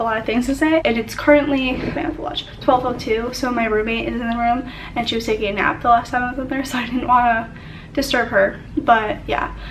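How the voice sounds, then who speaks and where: Over noticeable background noise and audible room echo, a woman talks at a fairly quick pace in a high voice with ordinary pitch variation. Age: young. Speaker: student vlogger. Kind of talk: casual vlog monologue. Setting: dorm study room. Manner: fast.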